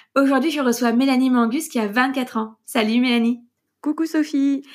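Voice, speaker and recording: In a very clean recording with a silent background, a woman speaks with a high pitch. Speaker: podcast host and coach. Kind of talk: casual interview; scripted intro.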